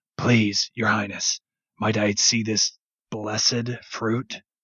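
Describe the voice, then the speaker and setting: A raspy, put-on character voice from a man, medium in pitch, monotone and flat, at a very slow pace. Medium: read story.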